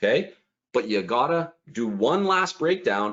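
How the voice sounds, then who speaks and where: A man speaks with very wide swings in pitch. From Canada. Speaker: online business coach. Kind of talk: live webinar tutorial. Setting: livestream. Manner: fast; animated.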